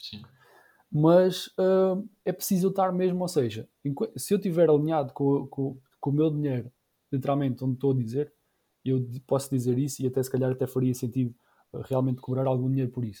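A man speaks at a fairly quick pace in a medium pitch, his tone dark, mellow and somewhat breathy, with long, frequent pauses. The recording is very clean, with a silent background. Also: ordinary pitch variation. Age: 30s. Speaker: YouTuber and entrepreneur. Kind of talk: casual chat.

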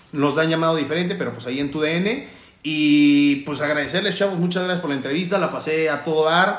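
There is noticeable background noise and audible room echo. A man speaks at a fairly quick pace. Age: 30s. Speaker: radio announcer. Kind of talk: casual chat.

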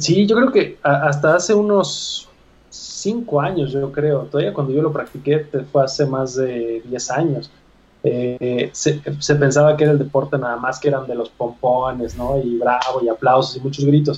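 With an unremarkable speaking voice, a man talks fairly slowly and fairly high, with ordinary pitch variation. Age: 30s. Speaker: fitness coach. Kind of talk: interview conversation.

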